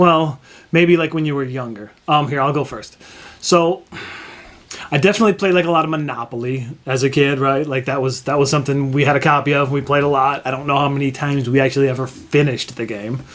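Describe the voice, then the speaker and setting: The speech comes at a very fast pace with fairly even intonation. There is noticeable background noise. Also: man, fairly high pitch for a man. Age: 40s. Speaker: board game youtuber. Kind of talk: casual chat.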